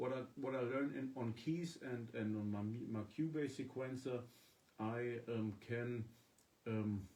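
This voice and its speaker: Speaking with a German accent, this man has a medium pitch and a dark, mellow tone. His intonation is fairly even, and his loudness stays very even. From Germany. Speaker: musician. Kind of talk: casual live-stream chat. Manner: halting.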